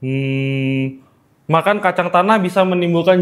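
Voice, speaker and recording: This man speaks at a fairly slow pace with a high pitch. His pitch varies in an ordinary way. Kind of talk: casual conversational Indonesian.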